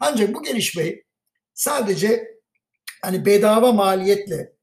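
Ordinary pitch movement in a man's high voice. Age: 50s. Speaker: podcaster on finance and economy. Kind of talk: solo monologue podcast. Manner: some hesitations and filler sounds.

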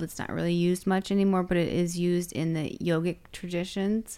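Heard in a very clean recording with a silent background, an ordinary speaking voice moves at a moderate pace with ordinary pitch variation. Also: woman. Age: 40s. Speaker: breath work and cold exposure instructor. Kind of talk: casual chat.

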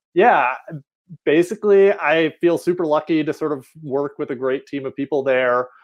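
A man talks at a medium tempo, his fairly high voice showing ordinary pitch variation. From US South, western North Carolina near Asheville. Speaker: software engineer. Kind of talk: interview. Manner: halting, many fillers.

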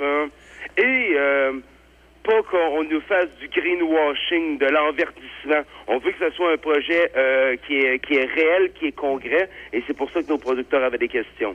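Speaking at a very slow pace, a man with a fairly high pitch uses ordinary pitch variation. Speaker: farmers' union representative. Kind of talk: interview. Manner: halting.

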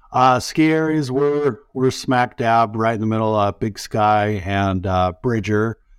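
This man has an American accent and a medium pitch. His pace is fairly slow, and his pitch varies in an ordinary way. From Utah. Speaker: wireless tower technician. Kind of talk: casual interview. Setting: remote call. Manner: halting.

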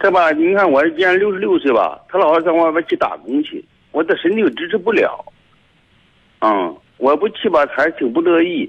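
This voice moves at a moderate pace with very wide pitch swings. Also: man, high pitch for a man. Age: 60s. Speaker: radio caller. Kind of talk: phone call-in. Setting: phone call.

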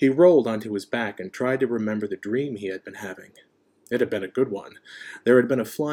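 What you hear is a natural reading voice.

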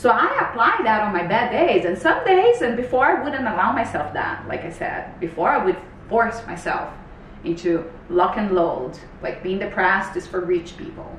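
With a Portuguese accent, a woman speaks at a moderate pace and medium pitch, her tone animated and her intonation lively, over noticeable background noise. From Brazil. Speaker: health coach. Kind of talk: casual chat.

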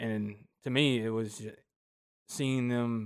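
On a very clean recording with a silent background, a man speaks at a medium pitch with a Southern US accent. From US South, north Georgia. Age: 20s. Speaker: guest sharing personal faith story. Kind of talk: testimony.

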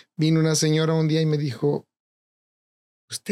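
At a very fast pace, a man speaks. His tone is dark and mellow. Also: dry, close sound with no echo. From Mexico, Jalisco (Tecolotlán). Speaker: chef and restaurant owner. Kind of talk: casual interview.

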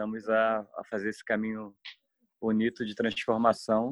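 A man's normal speaking voice at medium pitch, fairly slow pace, with a dry, close sound and no echo. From Brazil. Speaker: history teacher, alternative education project member. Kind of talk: interview conversation.

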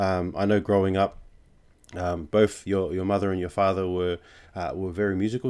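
Over a very clean recording with a silent background, a man in an Australian accent talks very fast at a fairly low pitch. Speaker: podcast host. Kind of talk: casual chat.

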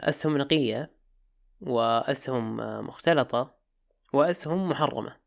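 Pausing long and often, a man with a fairly high pitch talks at a very slow pace. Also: ordinary pitch variation, very clean recording, silent background. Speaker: podcast production founder. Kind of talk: casual interview.

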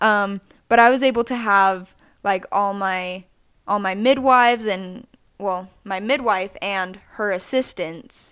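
Speaking very slowly at a medium pitch, a woman is heard on a very clean recording with a silent background. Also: ordinary pitch variation. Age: 20s. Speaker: podcast co-host. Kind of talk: casual chat.

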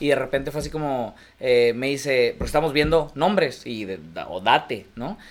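Vocal fry runs through this man's voice. His pitch is medium, with ordinary variation. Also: moderate pace. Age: 30s. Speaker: restaurant and café owner. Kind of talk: casual chat.

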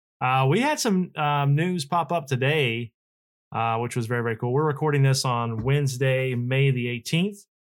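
An unremarkable speaking voice from a man of medium pitch at a moderate pace, on a very clean recording with a silent background. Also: ordinary pitch variation. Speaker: podcast host. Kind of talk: casual chat.

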